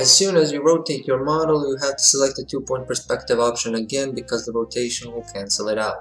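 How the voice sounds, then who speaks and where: With music in the background, a man at medium pitch races along at a very fast pace with hardly any pauses and ordinary pitch variation. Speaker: architecture software tutor. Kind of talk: tutorial voiceover.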